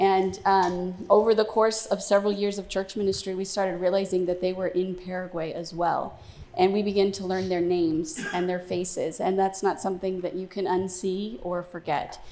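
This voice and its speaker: A woman talks at a moderate pace with hardly any pauses, her medium-pitched voice flat and monotone. Noticeable background noise runs underneath. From Venezuela. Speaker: missionary. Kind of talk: testimony.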